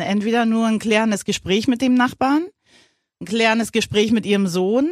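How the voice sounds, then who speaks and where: On a very clean recording with a silent background, a woman speaks at a moderate pace in a plain, everyday voice, fairly high in pitch. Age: 50s. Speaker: podcast co-host, mother of the host. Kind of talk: casual chat.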